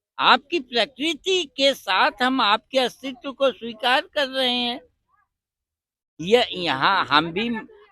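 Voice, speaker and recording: A man speaks in a raised, projected voice at an extremely high pitch, his tone bright and sharp, with a dry, close sound and no echo. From Rajasthan, India. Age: 70s. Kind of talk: interview. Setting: outdoors at a religious fair.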